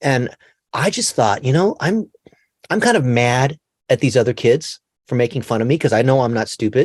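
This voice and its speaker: With a General American accent and lively intonation, the speaker moves at a moderate pace with long, frequent pauses in a dry, close sound with no echo. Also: man, medium pitch for a man. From Los Angeles, US. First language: Chinese. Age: 40s. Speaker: digital marketing expert. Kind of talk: podcast interview.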